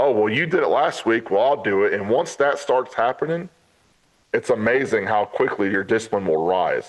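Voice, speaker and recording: In an American accent, a man with a plain, everyday voice speaks at a moderate pace with lively intonation and very even loudness. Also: medium pitch for a man. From upstate New York. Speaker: Marine veteran. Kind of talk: interview.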